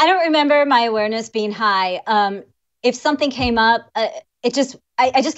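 Speaking at a fairly quick pace with lively intonation, a woman uses an unremarkable speaking voice. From US Midwest, Illinois. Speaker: lawyer and vaping advocate. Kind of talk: interview.

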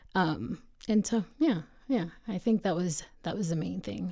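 With vocal fry in a dark, mellow tone, a woman talks with ordinary pitch variation. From Texas border region (born in northeast Mexico). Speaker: attorney. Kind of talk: interview.

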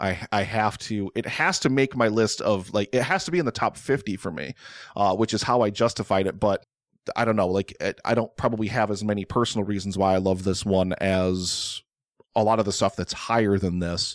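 A man talks at a fairly quick pace with a fairly low pitch. The sound is dry and close with no echo, on a very clean recording with a silent background. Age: 40s. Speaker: food content creator, former film reviewer. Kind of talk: casual chat. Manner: animated, repetitive.

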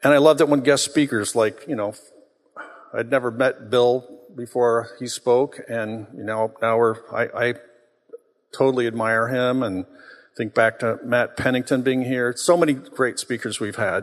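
This man has a plain, everyday voice at medium pitch. He talks at a moderate pace with fairly even intonation. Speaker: church co-founder speaking to congregation. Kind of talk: sermon. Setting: church.

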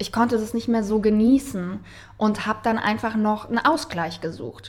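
The woman talks at a moderate pace. Her pitch varies in an ordinary way. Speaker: wedding officiant and actress. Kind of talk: casual chat.

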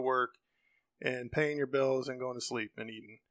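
This man talks at a fairly quick pace with an American accent and medium pitch. He has an unremarkable speaking voice. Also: dry, close sound with no echo. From Ohio, US Midwest. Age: 50s. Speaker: friend of host. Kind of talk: casual chat.

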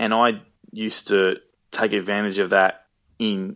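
Here a man talks at a fairly low pitch with an Australian accent. His intonation stays fairly even. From Melbourne, Australia. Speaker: actor. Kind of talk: casual chat. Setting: phone call.

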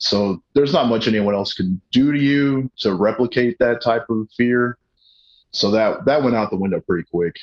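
A plain, everyday voice from a man with an American accent, medium pitch and ordinary pitch variation, at a moderate pace, in a dry, close sound with no echo. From Colorado, US. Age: 30s. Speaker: comedian and pro wrestler. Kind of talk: casual chat.

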